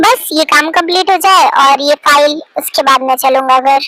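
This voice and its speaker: In a put-on character voice, a woman speaks high in pitch at a moderate pace. Her loudness stays very even, and her pitch varies in an ordinary way. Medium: fan dub. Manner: curt, dismissive.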